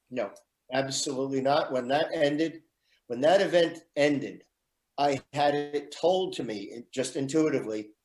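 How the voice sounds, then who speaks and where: Music plays behind a man speaking at a fairly high pitch. His pitch varies in an ordinary way. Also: moderate pace. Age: 60s. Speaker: radio show guest. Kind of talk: personal testimony.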